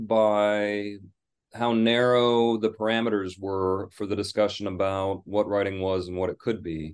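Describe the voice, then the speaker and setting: A man with an American accent has an unremarkable speaking voice and fairly even intonation. He talks at a fairly slow pace against a quiet background. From Michigan, US. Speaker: English professor and author. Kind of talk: interview.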